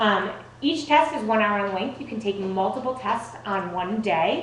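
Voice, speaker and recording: Amid noticeable background noise and audible room echo, a woman speaks at a fairly high pitch with lively intonation. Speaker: test prep presenter. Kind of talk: presentation to parents and students. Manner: fast.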